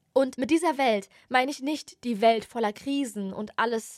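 A woman at a fairly high pitch and moderate pace, animated in tone, with ordinary pitch variation, on a very clean recording with a silent background. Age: 20s. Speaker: podcast host. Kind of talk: casual monologue.

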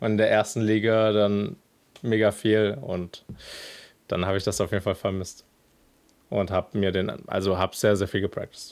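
Over a silent background in a very clean recording, a man speaks in a fairly low, monotone, flat voice at a moderate pace, with long, frequent pauses. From Germany, Cologne. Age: 20s. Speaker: professional esports player. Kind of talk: interview testimony.

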